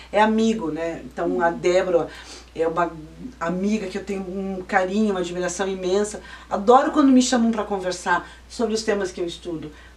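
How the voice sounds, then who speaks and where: Amid noticeable background noise and audible room echo, a woman talks at a fairly quick pace with medium pitch and ordinary pitch variation. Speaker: lawyer and law professor. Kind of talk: interview.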